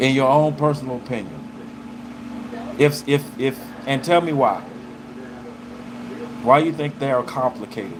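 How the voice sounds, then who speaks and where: A man with a Southern US accent and a fairly high pitch, moderate pace, long and frequent pauses, and noticeable background noise. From US South, Arkansas. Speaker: live streamer. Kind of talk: casual chat. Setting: livestream. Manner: animated.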